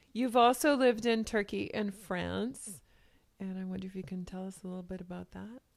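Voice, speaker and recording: Using an ordinary speaking voice, a woman talks at a fairly quick pace and medium pitch, with ordinary pitch variation and big swings in loudness. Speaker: interviewer. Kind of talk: interview conversation.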